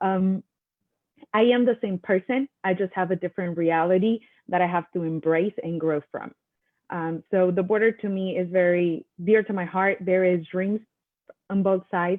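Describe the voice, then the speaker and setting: A woman with a Mexican accent speaks at a moderate pace, her medium-pitched voice carrying a fairly even intonation. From Mexico. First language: Spanish. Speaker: attorney and panelist. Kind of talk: panel discussion. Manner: halting, many fillers.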